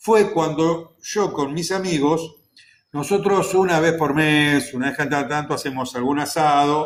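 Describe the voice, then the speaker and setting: With an Argentine accent, a man speaks at a fairly slow pace. His pitch is fairly high, with ordinary variation. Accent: Rioplatense Argentine Spanish. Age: 60s. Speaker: expert commentator. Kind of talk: casual chat. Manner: animated.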